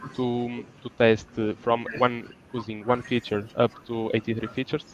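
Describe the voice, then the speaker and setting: A man's medium-pitched voice with a Portuguese accent, monotone and flat, at a fairly slow pace. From Portugal. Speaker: student researcher. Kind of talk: conference presentation. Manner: halting.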